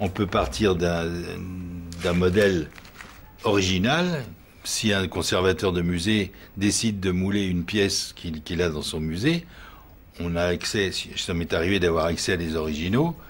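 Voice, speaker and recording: A man speaks at a fairly slow pace in a very deep, low voice, leaving long, frequent pauses. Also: fairly even intonation. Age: 70s. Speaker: artisan plaster mould maker, workshop owner. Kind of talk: interview. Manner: halting, with repetitions and fillers.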